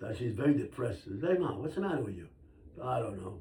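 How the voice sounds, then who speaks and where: The speech comes at a very fast pace with very wide pitch swings, and audible room echo surrounds it. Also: man. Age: 90s. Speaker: grandfather being interviewed by grandchild. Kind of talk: casual family interview, storytelling.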